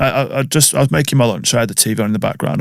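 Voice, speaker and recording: At a very fast pace, the voice shows vocal fry and lively intonation. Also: man. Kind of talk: casual podcast conversation.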